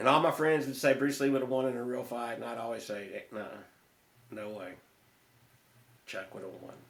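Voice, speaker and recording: Over audible room echo, a man at medium pitch talks at a fairly quick pace with ordinary pitch variation, big swings in loudness, and long, frequent pauses. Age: 60s. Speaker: martial arts instructor. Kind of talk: podcast interview. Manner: halting, many false starts.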